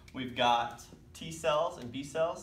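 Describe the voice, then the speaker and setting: Light background noise sits under the voice, and the room echo is audible. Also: man. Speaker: teacher. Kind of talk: lecture. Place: classroom. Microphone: camera far.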